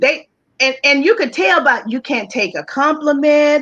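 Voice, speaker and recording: A raised, projected voice in a Southern US accent, bright and sharp in tone. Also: woman. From US South, Charlotte, North Carolina. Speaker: talk show guest. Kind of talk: interview, personal story.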